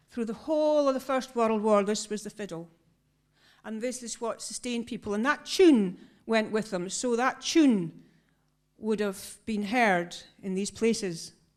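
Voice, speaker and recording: Over a silent background in a very clean recording, a woman with a northeast Scottish accent speaks at a fairly slow pace in a fairly high voice with ordinary pitch variation. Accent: Doric Scots. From northeast Scotland. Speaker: choir member and storyteller. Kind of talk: storytelling to a concert audience. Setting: stage with audience.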